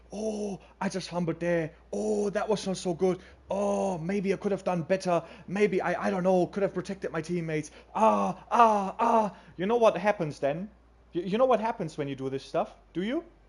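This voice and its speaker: Speaking with a German accent, a man with a high pitch talks at a moderate pace with ordinary pitch variation. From Germany. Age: 20s. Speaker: gaming streamer. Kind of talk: casual chat. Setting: livestream. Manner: halting.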